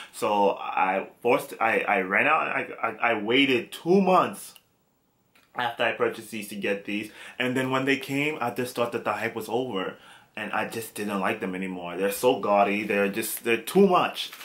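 A man with an American accent, a moderate pace, and ordinary pitch variation. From US, New York (Brooklyn); New York. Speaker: fashion vlogger. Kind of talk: casual vlog tutorial. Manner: halting.

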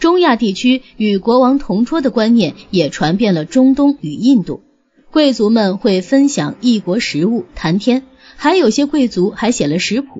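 A woman talks at a fairly slow pace and a fairly high pitch. Her voice makes very wide pitch swings. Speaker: audiobook narrator. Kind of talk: reading aloud.

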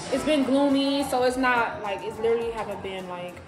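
Faint music plays behind a woman's high-pitched voice, which has audible room echo. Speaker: vlogger. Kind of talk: casual vlog chat. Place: home room. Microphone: phone near.

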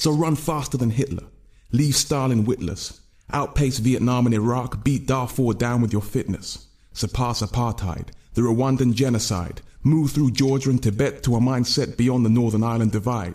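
With very even loudness against a quiet background, a man speaks at a moderate pace in a somewhat breathy, intense tone with ordinary pitch variation. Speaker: spoken word poet. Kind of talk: spoken word poem performance, rhythmic and rhyming. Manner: intense, rhythmic, driving delivery with dense wordplay. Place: studio. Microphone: studio mic.

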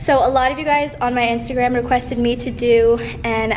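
A woman speaks at a moderate pace with a high pitch. Faint music plays in the background. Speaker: fitness vlogger. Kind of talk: casual vlog chat. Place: gym. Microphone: phone near.

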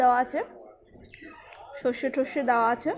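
Over noticeable background noise, a woman speaks at a high pitch in a monotone, flat way. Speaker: food vlogger. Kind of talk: casual food review vlog. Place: cafe. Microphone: lapel.

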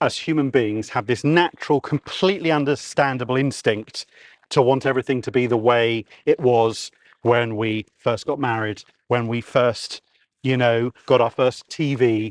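Speaking with a southern English accent, a man keeps a medium pitch that varies in an ordinary way at a moderate pace. The background is quiet and the sound is dry, with no echo. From Kent, southeast England; southeast England. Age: 40s. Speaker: radio presenter. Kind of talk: casual chat. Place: open country. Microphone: lapel.

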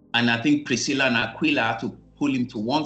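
Faint music plays behind a man. His pitch varies in an ordinary way. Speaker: minister teaching online. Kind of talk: sermon. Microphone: video call.

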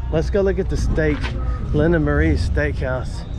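The recording of this man sounds dry, with no echo. Clear music plays in the background. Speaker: travel vlogger. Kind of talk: casual vlog chat. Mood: playful, joking. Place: street. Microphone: phone near.

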